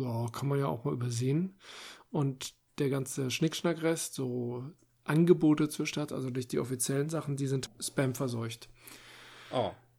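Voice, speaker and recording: In a very clean recording with a silent background, a man with a medium pitch and a dark, mellow tone speaks at a moderate pace. His intonation is fairly even, and he leaves long, frequent pauses. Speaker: podcast co-host. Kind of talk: casual chat.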